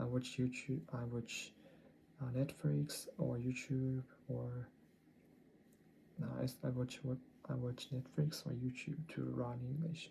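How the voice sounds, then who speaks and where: The voice has a Japanese accent and moves at a very slow pace. Long, frequent pauses break up the speech. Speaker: English learner vlogger. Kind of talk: language-learning video diary. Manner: halting, many self-corrections.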